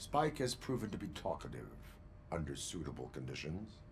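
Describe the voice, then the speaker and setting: Someone does a put-on character voice at a moderate pace. Clear background noise can be heard. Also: man, very deep, low pitch for a man. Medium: video game. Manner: flat, monotone, formal.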